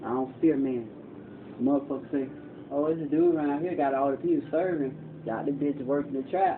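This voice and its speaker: A man at a fairly quick pace, broken by long, frequent pauses, over noticeable background noise. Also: fairly high pitch for a man. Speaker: homeless man telling his life story. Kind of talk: casual monologue, documentary. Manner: soft-spoken.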